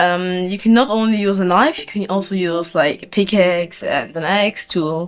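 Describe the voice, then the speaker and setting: A woman with a non-native accent speaks at a moderate pace and medium pitch. Her pitch varies in an ordinary way, on a very clean recording with a silent background. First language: not English. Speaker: gaming YouTuber. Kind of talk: gameplay tutorial. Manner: halting, many fillers.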